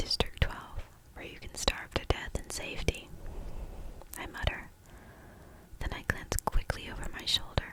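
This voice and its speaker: Whispering with long, frequent pauses and noticeable background noise. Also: moderate pace. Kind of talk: reading a novel aloud. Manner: whispered, soft-spoken.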